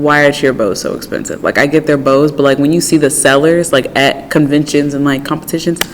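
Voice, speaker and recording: A woman's very deep, low voice at a fairly quick pace, hardly any pauses, and noticeable background noise. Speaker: podcast co-host. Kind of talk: casual chat. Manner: talkative, animated.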